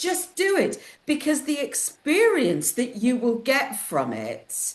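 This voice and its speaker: A woman speaks very slowly in a high voice. Her pitch swings very widely. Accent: northern English. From northern England, Lancashire. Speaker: publisher and interviewer. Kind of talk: interview.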